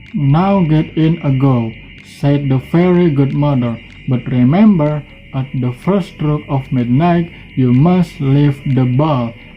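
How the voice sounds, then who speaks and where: With music playing in the background, a man speaks at a fairly high pitch with ordinary pitch variation. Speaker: university student. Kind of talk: storytelling reading aloud of a fairy tale.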